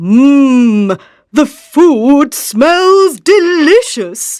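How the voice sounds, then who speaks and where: A put-on character voice with very wide pitch swings, in a very clean recording with a silent background. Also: woman, high pitch for a woman. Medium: read story.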